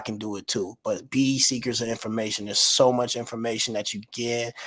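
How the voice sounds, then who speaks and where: A man with a medium pitch talks at a fairly quick pace. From Detroit, Michigan. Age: 30s. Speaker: filmmaker and entrepreneur. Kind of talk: casual interview chat. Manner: fast.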